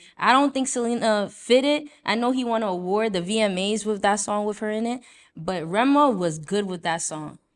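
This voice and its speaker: A woman with an American accent and a normal speaking voice talks at a moderate pace, fairly high in pitch with ordinary pitch variation, on a very clean recording with a silent background. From Brooklyn, New York (Haitian household). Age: 20s. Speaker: podcast host. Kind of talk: casual chat.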